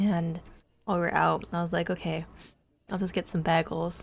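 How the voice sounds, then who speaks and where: A woman's fairly low-pitched voice at a moderate pace on a very clean recording with a silent background. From Canada. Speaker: streamer (VTuber). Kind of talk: casual chat. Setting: live stream.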